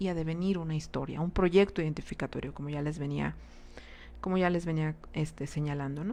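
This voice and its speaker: A woman speaks with ordinary pitch variation. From Mexico, Cuernavaca, Morelos. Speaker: psychologist / psychoanalytic speaker. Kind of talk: lecture. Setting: live online transmission. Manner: halting, many fillers and repetitions.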